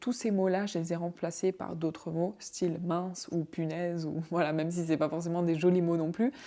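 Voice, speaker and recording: A woman with a non-native accent speaks at a moderate pace with hardly any pauses, using a fairly low pitch, fairly even intonation and a dark, mellow tone. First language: not French (speaking French). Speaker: vlogger. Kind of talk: casual advice vlog. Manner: conversational.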